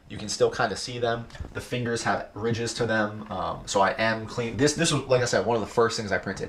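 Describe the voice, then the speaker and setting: Against noticeable background noise, a man of medium pitch talks at a fairly quick pace with fairly even intonation. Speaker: 3D printing and cosplay streamer. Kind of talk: casual live stream Q&A.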